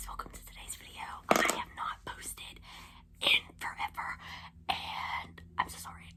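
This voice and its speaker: Over noticeable background noise, a woman whispers with long, frequent pauses. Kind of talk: casual nail tutorial talk to camera. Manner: whispered.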